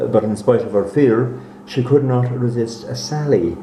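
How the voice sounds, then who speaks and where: A man talks very slowly with fairly even intonation against noticeable background noise. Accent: Irish. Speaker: actor. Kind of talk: read story.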